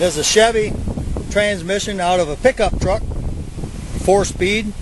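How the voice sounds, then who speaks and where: A man talks with ordinary pitch variation amid noticeable background noise. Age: 70s. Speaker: hobbyist tractor builder. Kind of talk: equipment demonstration. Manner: casual, halting.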